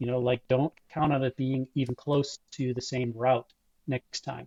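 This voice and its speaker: Somewhat breathy man with an American accent, medium pitch, fairly even intonation and a fairly slow pace. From Buffalo, New York. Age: 60s. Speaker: long-distance cyclist and club ride organizer. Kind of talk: interview.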